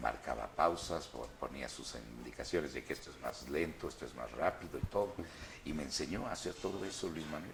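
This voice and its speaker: Amid noticeable background noise, a man with a very deep, low pitch speaks at a moderate pace with ordinary pitch variation. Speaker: voice actor. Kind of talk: interview answer.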